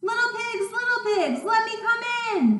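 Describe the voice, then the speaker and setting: A woman does a squeaky, put-on character voice at an extremely high pitch and a moderate pace, with a slight echo. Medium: read story. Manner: growling, loud.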